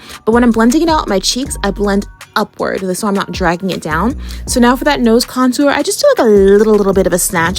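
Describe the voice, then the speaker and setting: A woman talks at a very fast clip while music plays in the background. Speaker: beauty content creator. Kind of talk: makeup tutorial voiceover. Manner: casual, chatty.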